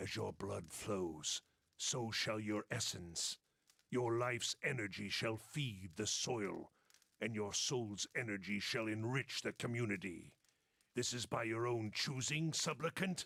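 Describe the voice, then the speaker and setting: A man's put-on character voice, gravelly and raspy, at a medium pitch. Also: fairly slow pace. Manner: monotone, solemn.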